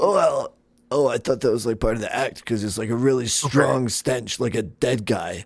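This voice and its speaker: A man puts on a raspy character voice at a medium pitch. He keeps a moderate pace with ordinary pitch variation. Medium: actual play. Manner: hesitant, filler-heavy, casual.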